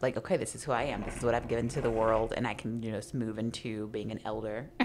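Speaking very fast, a woman with a Midwestern US accent has a very deep, low voice. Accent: US Midwest. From Kansas City, Kansas (Wyandotte County). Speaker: poet and writer. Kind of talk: casual chat.

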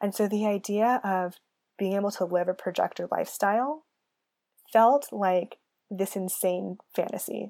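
On a very clean recording with a silent background, a woman with a Californian accent speaks at a moderate pace in a dark, mellow tone. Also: medium pitch for a woman, ordinary pitch variation. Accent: Californian American. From US West Coast, San Francisco Bay Area. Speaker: podcast host and human design coach. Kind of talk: solo podcast monologue, personal story. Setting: alone at a microphone.

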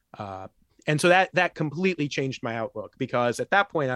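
In an American accent, a man uses an ordinary speaking voice at a moderate pace with lively intonation, recorded very cleanly against a silent background with a dry, close sound and no echo. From US Midwest, rural Illinois. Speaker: professor and nuclear arms control expert. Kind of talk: casual interview.

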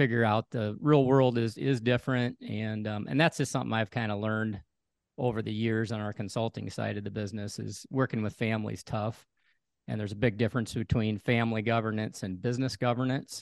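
In a normal speaking voice, a man with an American accent talks at a fairly quick pace and medium pitch, his intonation fairly even, the sound dry and close with no echo, and the background quiet. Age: 50s. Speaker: farmer and farm business consultant. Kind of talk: casual interview.

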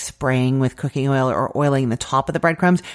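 A woman's voice with ordinary pitch variation on a very clean recording with a silent background. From Canada. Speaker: food podcast host and recipe blogger. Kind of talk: cooking tutorial. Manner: casual, chatty.

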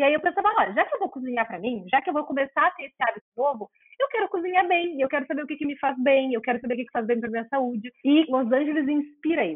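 In a southern Brazilian accent, the speaker talks very fast with hardly any pauses. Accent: gaúcho Portuguese. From Rio Grande do Sul, Porto Alegre. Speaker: behavioral nutritionist, former actress. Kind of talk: interview conversation. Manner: hesitant, repeats words.

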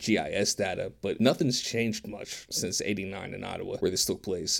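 Recorded very cleanly against a silent background, a man with a fairly low pitch and an ordinary speaking voice talks at a fairly quick pace. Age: 30s. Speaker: podcast co-host. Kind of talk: casual chat.

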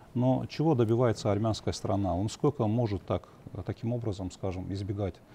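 A man's somewhat breathy voice, fairly low in pitch with a dark, mellow tone, ordinary pitch variation and a moderate pace. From Azerbaijan. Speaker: journalist and political analyst. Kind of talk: TV political panel discussion. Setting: TV studio.

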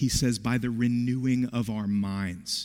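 A man with an American accent, an unremarkable speaking voice and ordinary pitch variation. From West Virginia. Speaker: pastor. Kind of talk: sermon.

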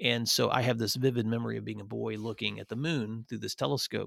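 A man speaks at a fairly quick pace with an American accent. The recording is very clean with a silent background and a dry, close sound with no echo. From US South, northwest Tennessee. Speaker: education association director, former principal. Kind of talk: interview.

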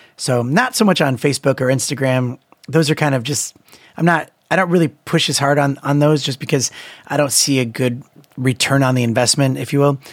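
With fairly even intonation and a fairly quick pace, an unremarkable speaking voice comes through in a dry, close sound with no echo. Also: man, fairly high pitch for a man. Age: 30s. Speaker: musician and YouTube creator. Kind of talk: casual chat.

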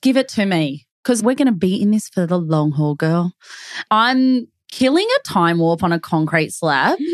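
An Australian accent at a moderate pace, with very wide pitch swings. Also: woman, medium pitch for a woman. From Melbourne, Australia. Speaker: real estate agent podcast co-host. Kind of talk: casual chat.

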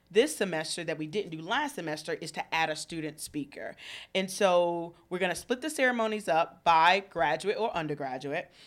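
A woman with a Southern US accent talks at a fairly quick pace, her pitch fairly low. Her intonation is lively, her tone animated, and the recording is very clean with a silent background. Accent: Southern US (Georgia). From Georgia, Thomaston (US South). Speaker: university student affairs staff. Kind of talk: radio interview. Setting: radio studio.

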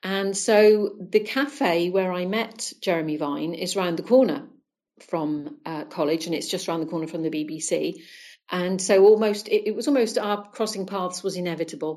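This is a woman with an unremarkable speaking voice and a medium pitch. She keeps a moderate pace and ordinary pitch variation. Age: 60s. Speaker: former Jehovah's Witness guest. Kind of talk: interview.

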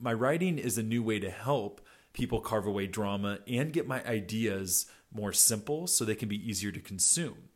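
On a very clean recording with a silent background, a man speaks at medium pitch with ordinary pitch variation and a moderate pace. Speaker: podcast host and keynote speaker. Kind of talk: solo podcast update. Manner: energetic, motivational.

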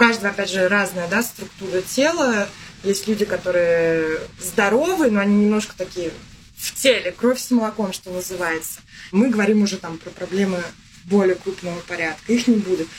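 A woman's medium-pitched voice at a moderate pace, with ordinary pitch variation, big swings in loudness and noticeable background noise. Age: 30s. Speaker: yoga teacher. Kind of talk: podcast interview.

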